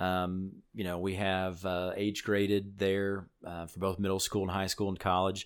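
With an American accent, a man talks at a moderate pace in a very deep, low pitch with hardly any pauses and monotone, flat intonation, on a very clean recording with a silent background. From Illinois. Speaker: student pastor. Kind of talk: interview.

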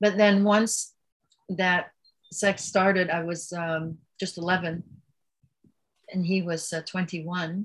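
A woman speaks very slowly in a somewhat breathy voice. Her intonation is flat and monotone, broken by long, frequent pauses. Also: medium pitch for a woman. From Belgium. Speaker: author and yoga advocate. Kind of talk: interview about personal trauma and spirituality.

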